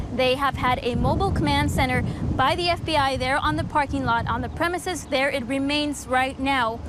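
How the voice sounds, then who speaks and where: Over noticeable background noise, a fairly quick speaker talks with an American accent. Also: woman. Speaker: TV news reporter. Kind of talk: TV news report.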